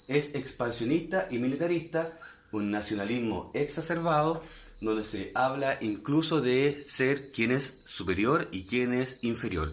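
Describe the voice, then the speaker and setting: A man speaks at a fairly slow pace with lively intonation, and audible room echo surrounds his voice. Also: medium pitch for a man. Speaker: history teacher. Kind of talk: online lecture.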